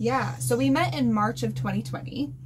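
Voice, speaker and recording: A woman talks at a moderate pace, and audible room echo colors her voice. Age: 20s. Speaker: boat-living couple vlogger. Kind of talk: casual chat. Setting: on a boat.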